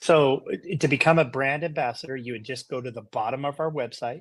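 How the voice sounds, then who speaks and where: A man in an American accent with a normal speaking voice, fairly even intonation and a fairly quick pace. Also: very clean recording, silent background. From Utah. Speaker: company CEO. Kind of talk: interview.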